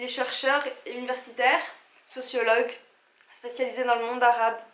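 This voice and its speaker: A woman's high-pitched, animated voice at a fairly quick pace, with audible room echo and noticeable background noise. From Algeria. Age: 30s. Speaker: vlogger. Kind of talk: casual vlog talk to camera.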